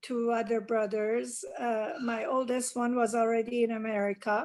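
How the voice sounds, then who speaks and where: In a Persian accent, a woman speaks at a fairly slow pace with a fairly high pitch and monotone, flat intonation. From Iran. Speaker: interviewee, oral history. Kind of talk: oral history interview. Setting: video call. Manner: hesitant, many fillers.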